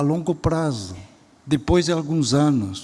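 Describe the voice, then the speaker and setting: A man's fairly high, somewhat breathy voice at a very slow pace, with lively intonation. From Spain. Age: 70s. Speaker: education professor and speaker. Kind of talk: lecture. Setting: auditorium stage with audience.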